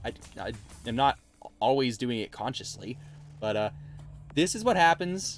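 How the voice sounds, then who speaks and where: Music plays in the background while a man speaks at a medium pitch with lively intonation. He leaves long, frequent pauses. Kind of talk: casual, conversational. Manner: fast talker.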